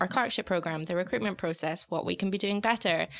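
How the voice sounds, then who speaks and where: This woman has a plain, everyday voice at medium pitch with ordinary pitch variation. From outside Australia, moved to Sydney in 2016. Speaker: graduate recruiter. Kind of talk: casual chat.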